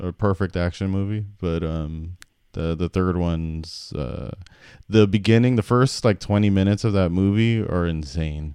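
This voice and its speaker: A man speaks at a moderate pace in a very deep, low voice with a dark, mellow tone and ordinary pitch variation. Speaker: podcast co-host, front end developer. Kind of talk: casual chat.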